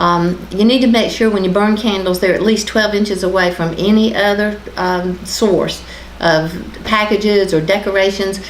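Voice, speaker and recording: A woman with an American accent speaks at a very even loudness and fairly even intonation, with noticeable background noise and audible room echo. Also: medium pitch for a woman, moderate pace. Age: 50s. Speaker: county official giving fire safety tips. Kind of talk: local TV talk show interview.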